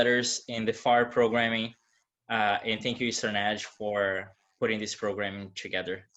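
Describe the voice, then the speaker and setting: Delivered at a moderate pace, the voice has monotone, flat intonation and a Portuguese accent. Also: man. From Brazil. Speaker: moderator, gallery director. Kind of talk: panel moderation. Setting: video call.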